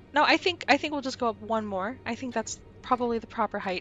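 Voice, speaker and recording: Over music in the background, a woman talks at a fairly quick pace in a fairly high pitch. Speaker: gaming video creator. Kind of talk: gameplay commentary. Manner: casual, conversational.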